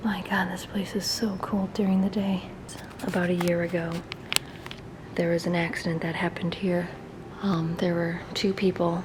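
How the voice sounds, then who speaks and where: Monotone, flat intonation with long, frequent pauses, audible room echo and noticeable background noise. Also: woman, fairly low pitch for a woman, moderate pace. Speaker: urban explorer YouTuber. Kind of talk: casual vlog. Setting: inside abandoned mall.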